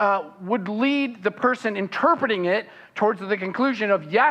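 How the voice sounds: It is a natural reading voice. The pitch varies in an ordinary way.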